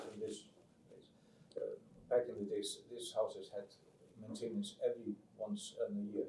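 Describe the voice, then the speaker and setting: A man with an Icelandic accent speaks at a moderate pace, with big swings in loudness. He pauses long and often. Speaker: audience member. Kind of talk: audience question. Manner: halting.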